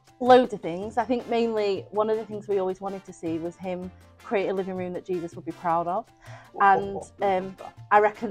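A woman talks with fairly even intonation while faint music plays in the background. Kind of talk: interview answer. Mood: warm, earnest. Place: street. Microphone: lapel.

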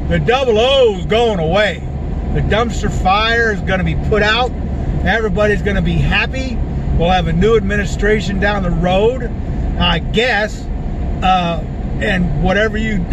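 The sound is dry with no echo as a man talks at a moderate pace over noticeable background noise. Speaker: vlogger driving. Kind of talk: casual vlog chat. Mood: cheerful, animated. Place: car. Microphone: phone near.

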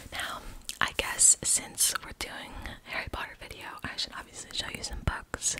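Whispering at a moderate pace, a woman lets her loudness swing widely. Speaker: ASMR creator. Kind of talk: soft-spoken ASMR show-and-tell. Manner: soft close-mic ASMR voice. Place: home room. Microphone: studio mic.

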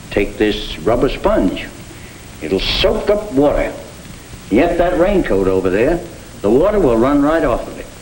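Speaking at a fairly slow pace, a man lets his pitch swing very widely over light background noise. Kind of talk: scripted film dialogue explaining. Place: workshop. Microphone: old recording.

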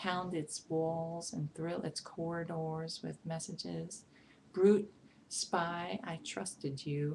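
A woman with a fairly low pitch speaks at a very slow pace with ordinary pitch variation over light background noise. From New York, Brooklyn. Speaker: poet reading a poem. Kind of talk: poetry reading. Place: home room. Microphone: webcam.

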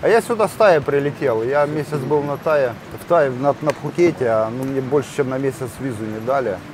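At a moderate pace, a man speaks with ordinary pitch variation, his dry sound with no echo set against noticeable background noise. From Ukraine. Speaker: travel vlogger. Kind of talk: casual chat. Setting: outdoors. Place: cafe. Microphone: camera far.

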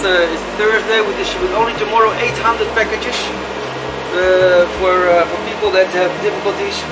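A moderate pace with music in the background. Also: man. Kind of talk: guided tour explanation. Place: kitchen. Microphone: lapel.

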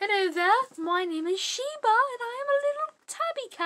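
This is a cartoonish character voice with an extremely high pitch. It moves at a moderate pace. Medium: puppet.

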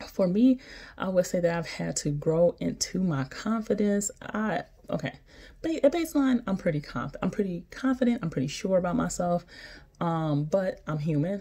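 A woman speaks at a moderate pace, somewhat breathy, with a dark, mellow tone. Her intonation is lively. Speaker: physician assistant vlogger. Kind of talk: casual vlog chat. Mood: encouraging, warm. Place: home room. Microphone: phone near.

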